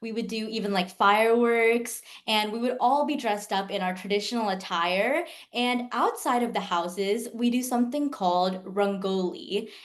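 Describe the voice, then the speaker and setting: A woman talks with ordinary pitch variation in a space with audible room echo. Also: fairly high pitch for a woman, moderate pace. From US South, Jacksonville, Florida. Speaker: pre-med student. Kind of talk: interview.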